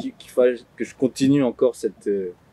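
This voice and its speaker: The man's voice sounds dry and close with no echo, at a moderate pace. Noticeable background noise is present. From France. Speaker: author and publisher. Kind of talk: interview.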